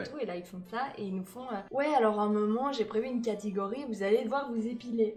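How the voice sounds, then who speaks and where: A woman's fairly high voice at a fairly quick pace, hardly any pauses, ordinary pitch variation, big swings in loudness, and noticeable background noise. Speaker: improv actor and comedian. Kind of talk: casual conversation.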